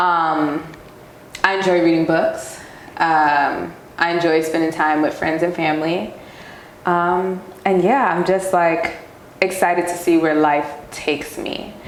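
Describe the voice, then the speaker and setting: Speaking fairly slowly in a New York accent, a woman with a fairly low pitch leaves long, frequent pauses, with audible room echo and noticeable background noise. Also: fairly even intonation. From New York City (Queens). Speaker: professional dancer. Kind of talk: casual interview.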